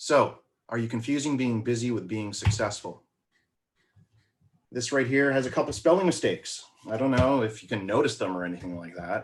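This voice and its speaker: Speaking at a fairly quick pace with long, frequent pauses, a man uses lively intonation at a medium pitch. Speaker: marketing coach. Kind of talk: webinar presentation. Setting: live video stream. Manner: fast.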